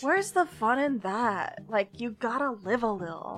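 A put-on character voice, female-sounding, bubbly and drawling, fairly high in pitch at a moderate pace, over clear music in the background. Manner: bubbly, spacey influencer drawl.

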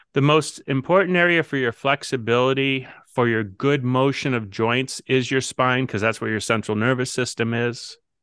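A plain, everyday voice talks at a moderate pace with hardly any pauses. Its pitch varies in the ordinary way. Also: man, medium pitch for a man. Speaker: chiropractor and podcast host. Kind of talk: casual health advice conversation.

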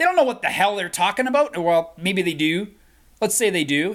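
The speaker's tone is animated. The recording is very clean, with a silent background. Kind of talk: angry rant. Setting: video recording. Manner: animated, indignant.

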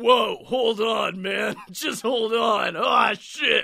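Putting on a character voice, a man speaks very slowly in a raised, projected voice at a high pitch. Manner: gruff, exaggerated.

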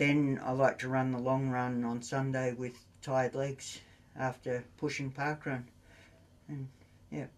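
A man with an Australian accent at a medium pitch, fairly slow and monotone with flat intonation, with long, frequent pauses. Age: 60s. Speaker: running coach. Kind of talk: casual chat.

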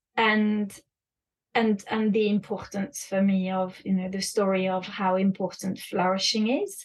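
A woman's fairly slow, somewhat breathy speech at a medium pitch, flat and monotone. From France and the UK. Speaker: education consultant and author. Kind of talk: interview conversation.

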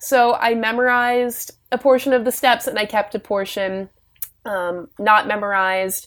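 This woman speaks in a Virginia accent at a fairly high pitch. Her pace is moderate and her intonation fairly even. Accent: American, Virginia. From US, Richmond, Virginia. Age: 20s. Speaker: step dancer. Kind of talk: casual interview.

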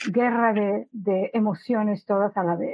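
A woman speaks with an unremarkable speaking voice at medium pitch. Her pace is fairly slow and her intonation fairly even. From Monterrey, Mexico. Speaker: patient advocate. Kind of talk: webinar panel discussion.

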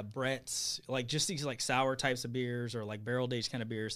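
A man with an American accent speaks in a normal speaking voice at medium pitch and a moderate pace. The recording is very clean, with a silent background. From Bakersfield, California. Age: 30s. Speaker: brewery owner. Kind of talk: casual chat. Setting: studio.

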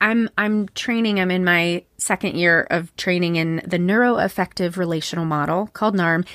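On a very clean recording with a silent background, a woman with an unremarkable speaking voice talks at a moderate pace and medium pitch, her loudness very even and her intonation fairly even. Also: dry, close sound with no echo. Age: 40s. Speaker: therapist and podcast host. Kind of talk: casual interview.

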